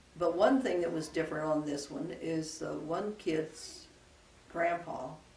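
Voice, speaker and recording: A woman with an American accent speaks at a fairly slow pace in a fairly low pitch, with ordinary pitch variation and noticeable background noise. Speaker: retired rural school teacher. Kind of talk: oral history interview answer.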